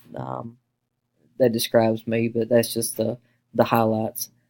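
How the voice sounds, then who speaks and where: Talking at a fairly quick pace with an Appalachian Kentucky accent, a man speaks at medium pitch in a dry, close sound with no echo. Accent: Appalachian Kentucky accent, noticeable. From eastern Kentucky (Hazard, Appalachia). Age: 20s. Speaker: university student, deputy sheriff. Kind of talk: class presentation. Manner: fast.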